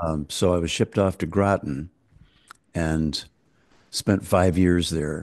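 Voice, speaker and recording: A man with an American accent, very deep and low-pitched, at a fairly slow pace. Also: quiet background. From United States. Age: 80s+. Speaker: folk singer-songwriter. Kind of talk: interview answer.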